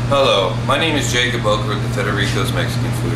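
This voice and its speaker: Loud background noise fills the recording. Through it, a man talks at a moderate pace. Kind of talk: reality show confessional to camera. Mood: jokey, mock-mellow. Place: kitchen.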